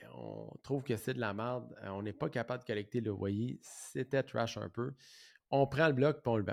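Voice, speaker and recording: A man with a Quebec accent talks at a moderate pace in a medium pitch, with ordinary pitch variation, on a very clean recording with a silent background. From Quebec, Saint-Jean-sur-Richelieu. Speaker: podcast host, real estate entrepreneur. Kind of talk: solo podcast monologue. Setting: office. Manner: halting, many fillers and repetitions.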